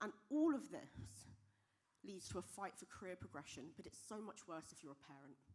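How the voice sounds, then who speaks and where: Vocal fry marks a voice with a British accent that moves at a moderate pace with very wide pitch swings and big swings in loudness. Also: woman, medium pitch for a woman. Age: young. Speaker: software engineer and diversity speaker. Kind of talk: conference talk.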